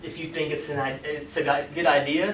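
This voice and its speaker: Amid noticeable background noise and audible room echo, the voice keeps a moderate pace and fairly even intonation. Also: man. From Iraq, moved to US at twelve. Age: 20s. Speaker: marketing instructor. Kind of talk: lecture. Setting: classroom with audience. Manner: casual, filler-heavy.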